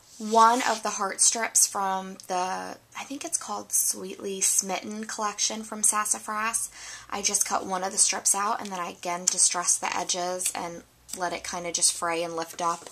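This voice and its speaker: Noticeable background noise sits behind a woman speaking at a moderate pace. Her pitch is medium and her intonation fairly even. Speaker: scrapbooking vlogger. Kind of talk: craft show-and-tell tutorial. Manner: casual, hesitant.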